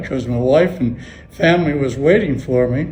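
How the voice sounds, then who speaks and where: In a Western Pennsylvania accent, a man talks at a fairly slow pace. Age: 80s+. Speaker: World War II Navy veteran. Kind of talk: interview answer.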